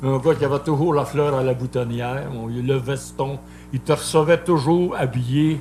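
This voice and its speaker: A man speaks at medium pitch with fairly even intonation and a fairly slow pace. Noticeable background noise runs underneath. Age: 70s. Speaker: singer. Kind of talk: casual chat.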